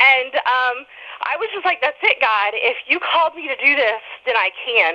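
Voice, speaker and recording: A raised, projected voice at a moderate pace, swinging very widely in pitch. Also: woman, high pitch for a woman. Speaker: author. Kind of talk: interview.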